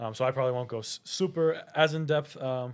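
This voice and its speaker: The intonation stays fairly even in an unremarkable speaking voice. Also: man. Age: 20s. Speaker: podcast host, university student. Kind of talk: casual chat.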